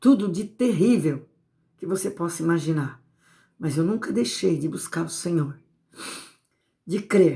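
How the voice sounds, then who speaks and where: A woman with a fairly low pitch and a dark, mellow tone speaks at a fairly slow pace, somewhat breathy. Her intonation is lively, broken by long, frequent pauses. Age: 60s. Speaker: evangelical preacher. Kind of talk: sermon.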